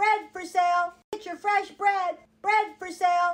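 In a cartoonish character voice, a female-sounding voice with an extremely high pitch speaks at a fairly slow pace with monotone, flat intonation. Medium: puppet.

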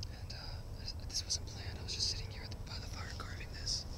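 Loud background noise sits over a dry recording with no echo. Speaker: bushcraft ASMR maker. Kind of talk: ASMR whispering outdoors. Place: forest. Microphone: phone near.

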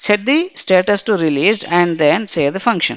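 At a moderate pace, a normal speaking voice carries lively intonation. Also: woman. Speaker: SAP software trainer. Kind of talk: tutorial. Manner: formal.

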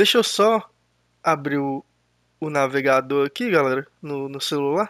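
The recording is very clean, with a silent background. A man with a fairly high pitch speaks at a fairly slow pace with lively intonation. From Brazil. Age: 30s. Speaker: gaming youtuber. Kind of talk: casual gameplay commentary. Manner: hesitant, repeats words.

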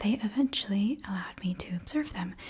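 A woman whispers, soft-spoken. Her pace is moderate. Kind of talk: roleplay monologue to viewer. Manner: soft close ASMR whisper-talk. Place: home room.

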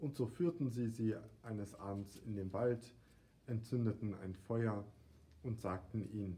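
The intonation stays fairly even throughout a natural reading voice.

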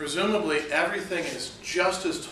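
Light background noise with audible room echo. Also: man. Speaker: philosophy professor. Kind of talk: classroom lecture. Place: classroom. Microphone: camera far.

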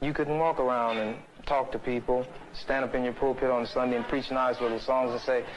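Over noticeable background noise, the man moves along at a fairly quick pace. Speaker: activist in debate. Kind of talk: heated argument. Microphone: old recording.

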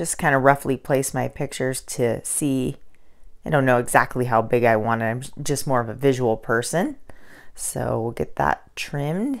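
On a very clean recording with a silent background, a woman with a very deep, low pitch and vocal fry speaks at a moderate pace with ordinary pitch variation. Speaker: crafting video host. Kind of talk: tutorial. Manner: casual, friendly.

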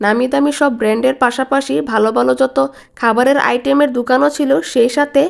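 Fairly even intonation marks a woman's high-pitched speech. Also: very even loudness. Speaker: vlogger. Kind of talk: vlog narration.

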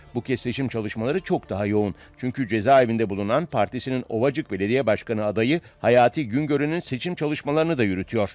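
The recording is very clean, with a silent background. A man of medium pitch speaks very fast with ordinary pitch variation. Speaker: news reporter. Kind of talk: scripted news narration.

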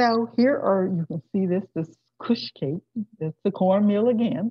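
Against a quiet background with a dry sound and no echo, a woman with a medium pitch speaks at a fairly slow pace, her voice somewhat breathy and her intonation lively. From Florida. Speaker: guest lecturer on food history. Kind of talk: lecture. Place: home room. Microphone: webcam.

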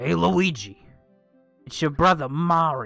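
A man puts on a character voice at a fairly high pitch. Faint music plays in the background. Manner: cartoonish, playful.

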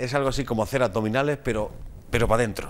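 A man at a medium pitch, with ordinary pitch variation and a very fast pace. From Spain. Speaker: TV magazine host. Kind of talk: interview. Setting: studio. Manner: halting. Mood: relaxed, humorous. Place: studio. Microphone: lapel.

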